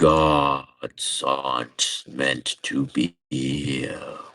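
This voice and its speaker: A man's put-on character voice, growling and very deep. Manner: heavy, serious.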